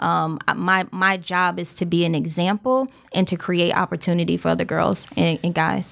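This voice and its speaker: With hardly any pauses, a woman talks at a moderate pace. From US South, South Carolina (Columbia). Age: 30s. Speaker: entrepreneur. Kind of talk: casual chat. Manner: matter-of-fact.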